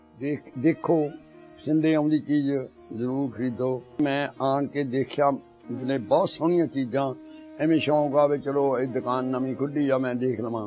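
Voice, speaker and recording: Faint music plays in the background. The intonation stays fairly even. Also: man, fairly high pitch for a man. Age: 80s+. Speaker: guest giving a shop endorsement. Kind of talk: shop endorsement. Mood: warm, friendly, religious greetings. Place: studio.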